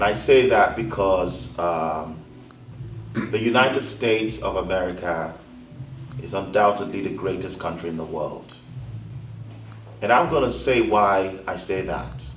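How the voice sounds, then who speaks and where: A man's very deep, low voice with lively intonation, a fairly slow pace and long, frequent pauses, over noticeable background noise and audible room echo. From Africa. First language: African language, not English. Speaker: panelist, communications advisor. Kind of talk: panel discussion.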